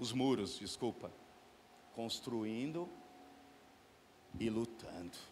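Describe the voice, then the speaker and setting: At a very slow pace with long, frequent pauses, a man speaks at a medium pitch with ordinary pitch variation amid audible room echo. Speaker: preacher. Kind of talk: sermon. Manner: soft-spoken at times.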